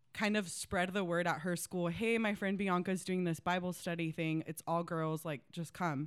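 An ordinary speaking voice from a woman, fairly low in pitch, on a very clean recording with a silent background. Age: 20s. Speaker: ministry leader. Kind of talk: casual chat.

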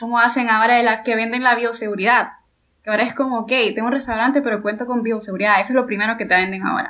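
At a very fast pace, a woman talks with a fairly high pitch, a bright, sharp tone and monotone, flat intonation. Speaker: marketing student representative. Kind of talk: casual chat. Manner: chatty, laughs easily.

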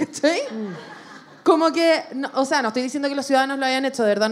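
A woman speaks with a Chilean accent at a fairly quick pace. Noticeable background noise runs under her voice. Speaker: comedian and podcast co-host. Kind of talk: live podcast with audience. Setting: stage with audience.

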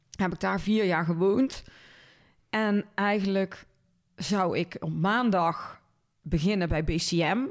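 In a Brabant accent, a woman speaks at a very slow pace with long, frequent pauses, medium pitch with ordinary variation and very even loudness, on a very clean recording with a silent background. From Netherlands, North Brabant (Linden near Cuijk). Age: 40s. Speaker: marketing agency owner. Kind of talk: casual interview.

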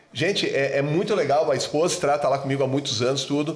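The speech moves at a moderate pace with ordinary pitch variation. Noticeable background noise and audible room echo are both present. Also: man. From southern Brazil, Rio Grande do Sul (Serra Gaúcha). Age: 50s. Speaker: dentist. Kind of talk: casual chat.

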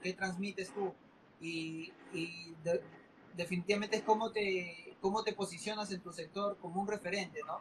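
A man speaks in a high voice. His intonation is flat and monotone. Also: moderate pace. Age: 20s. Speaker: entrepreneur. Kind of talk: interview. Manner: halting, many fillers and repetitions.

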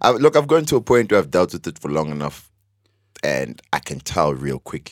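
Very deep and low in pitch, a man speaks fairly quickly with vocal fry, very wide pitch swings and big shifts in loudness, in a dry, close sound with no echo. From South Africa, Mpumalanga. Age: 20s. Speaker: podcast guest. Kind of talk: casual chat.

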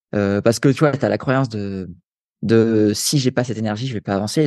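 A man's voice comes across dry and close, with no echo. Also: quiet background. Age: 30s. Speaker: sports nutrition coach and endurance athlete. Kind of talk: interview conversation. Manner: casual, filler-heavy.

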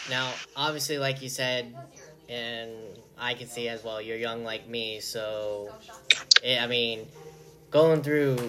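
Amid noticeable background noise and audible room echo, a man speaks very slowly at a medium pitch with fairly even intonation. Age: young. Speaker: podcast host. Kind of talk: interview. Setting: video call.

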